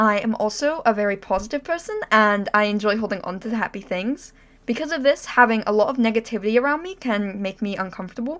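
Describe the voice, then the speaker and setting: A woman's fairly high voice with an American accent, very fast and with hardly any pauses, ordinary pitch variation, on a very clean recording with a silent background. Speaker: VTuber. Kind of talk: self-introduction monologue.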